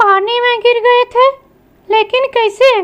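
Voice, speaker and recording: In a cartoonish character voice pitched extremely high, a woman speaks with monotone, flat intonation. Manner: scolding, questioning.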